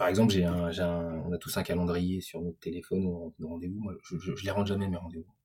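A man speaks at a fairly quick pace with hardly any pauses, his pitch very deep and low. His tone is dark and mellow, and his intonation fairly even. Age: 40s. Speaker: digital entrepreneur. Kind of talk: interview. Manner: halting, many repetitions and fillers.

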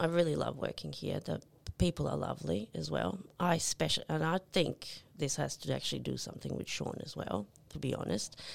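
A woman's very deep, low voice with vocal fry, very wide pitch swings and a fairly quick pace. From Yugoslavia (Serbia). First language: Serbian. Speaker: nurse. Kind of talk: casual chat.

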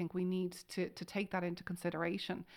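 A woman with an Irish accent, medium in pitch, at a moderate pace. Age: 40s. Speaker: hypnotherapist and author. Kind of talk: interview.

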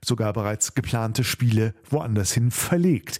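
Captured in a very clean recording with a silent background, a man speaks at medium pitch in a dark, mellow tone. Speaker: podcast host, radio presenter. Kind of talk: casual chat.

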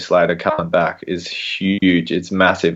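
This man has an Australian accent and a very deep, low pitch. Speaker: sports podcast co-host. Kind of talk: casual chat.

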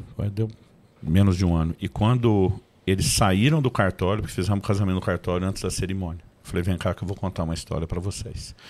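A man speaks very fast in a very deep, low voice with ordinary pitch variation. The recording is very clean, with a silent background. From Brazil, Campinas (São Paulo). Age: 50s. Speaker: pastor and author. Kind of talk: interview podcast, testimony.

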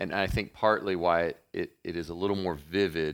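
On a very clean recording with a silent background, a man with a Kentucky accent speaks at a moderate pace in a very deep, low pitch. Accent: Kentucky Southern. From Kentucky (Murray). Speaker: pastor. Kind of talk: casual chat.

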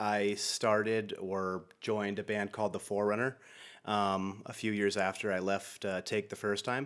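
A man speaks at a moderate pace with a fairly low pitch. The recording is very clean, with a silent background. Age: 30s. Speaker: hardcore band vocalist. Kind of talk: casual chat.

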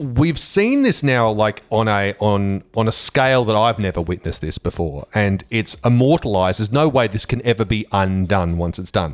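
Lively intonation carries a moderate pace with hardly any pauses. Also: man, fairly low pitch for a man. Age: 40s. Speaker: radio host. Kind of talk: casual chat. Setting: studio.

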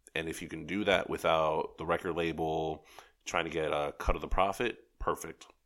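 In a New York accent, a man with a very deep, low pitch speaks at a moderate pace with fairly even intonation. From New York City (Rockaways, Queens). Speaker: advertising creative and writer. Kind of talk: casual chat. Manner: soft-spoken.

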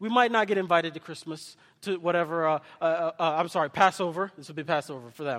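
A man with a high pitch speaks at a very fast pace in an animated tone. His intonation is lively, and the recording is very clean with a silent background. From Kenya, raised in US. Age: 30s. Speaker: associate pastor. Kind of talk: sermon. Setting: church with congregation. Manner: animated, interactive with congregation.

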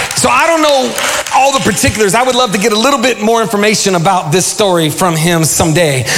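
Pitch swings very widely in an animated tone at a very fast pace. Loudness stays very even, though there is noticeable background noise. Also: man, high pitch for a man, hardly any pauses. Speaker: pastor. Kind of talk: sermon. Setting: church. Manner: call-and-response.

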